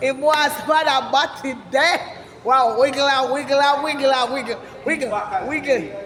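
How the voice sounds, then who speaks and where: A woman's high voice with a Jamaican accent at a very slow pace, amid noticeable background noise and audible room echo. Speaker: vlogger. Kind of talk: casual vlog walkabout. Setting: outdoors.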